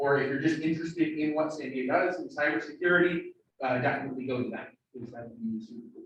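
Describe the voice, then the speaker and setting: A man talks at a fairly quick pace. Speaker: student club meeting leader. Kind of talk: club meeting announcements. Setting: room with hybrid Zoom audience. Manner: loud; casual, filler-heavy.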